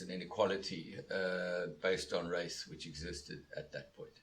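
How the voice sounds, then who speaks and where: At a moderate pace and with hardly any pauses, a man talks in big swings of loudness over noticeable background noise. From South Africa, Cape Town. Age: 60s. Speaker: law professor. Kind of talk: interview. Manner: halting, many filler words.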